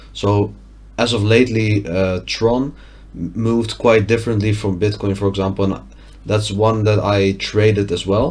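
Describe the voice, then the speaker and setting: Somewhat breathy and fairly low in pitch, a man with a Dutch accent speaks at a moderate pace in a monotone, flat intonation. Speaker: trading analyst. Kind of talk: tutorial. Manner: halting.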